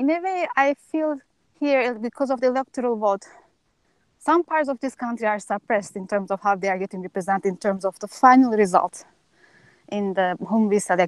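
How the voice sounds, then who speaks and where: A woman with a Turkish accent talks at a fairly quick pace with lively intonation, her voice dry with no echo against a quiet background. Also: fairly high pitch for a woman. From Turkey. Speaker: audience member. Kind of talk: audience question; Q&A comment. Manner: halting. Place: open country. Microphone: earbuds.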